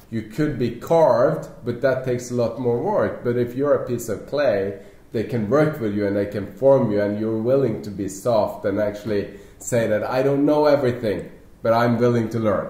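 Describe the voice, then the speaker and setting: A man's medium-pitched voice at a moderate pace with ordinary pitch variation, audible room echo and noticeable background noise. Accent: Norwegian. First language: Norwegian. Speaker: network marketing leader. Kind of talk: panel discussion.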